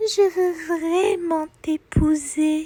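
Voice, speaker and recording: A woman's put-on character voice at an extremely high pitch. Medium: read story.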